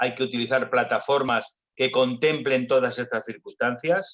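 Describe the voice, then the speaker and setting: The man has a plain, everyday voice at medium pitch. His intonation is fairly even and his pace moderate. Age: 60s. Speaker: doctor and health tech executive. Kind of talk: panel discussion.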